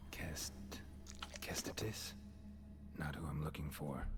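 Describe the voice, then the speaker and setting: In a put-on character voice, a man whispers at a fairly slow pace over loud background noise. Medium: machinima. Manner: terse, dry, low-key.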